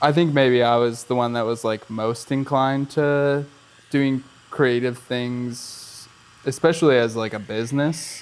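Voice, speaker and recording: A man with a normal speaking voice and an American accent, medium-pitched, fairly even in intonation, at a fairly slow pace. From Erie, Pennsylvania, US. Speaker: filmmaker and actor. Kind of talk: casual interview chat.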